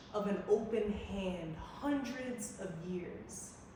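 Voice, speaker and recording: A woman speaks at a very slow pace with ordinary pitch variation. Noticeable background noise runs behind her. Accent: American. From USA. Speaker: performance poet. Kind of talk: live spoken word poetry.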